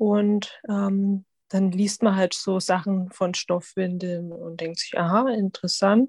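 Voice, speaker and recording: Somewhat breathy, a woman speaks at a very slow pace. Her pitch is medium. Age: 30s. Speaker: physician and mother of twins. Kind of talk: interview.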